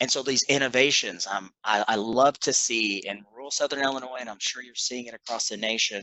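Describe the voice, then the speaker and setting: A man with a slight Kentucky accent talks fairly quickly with hardly any pauses, fairly even intonation and big swings in loudness. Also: medium pitch for a man. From western Kentucky. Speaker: clinical psychologist. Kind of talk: panel discussion.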